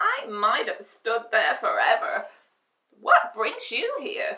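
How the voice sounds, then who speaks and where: In a put-on character voice, a woman talks at a very slow pace with an extremely high pitch and very wide pitch swings. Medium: read story. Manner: grunting.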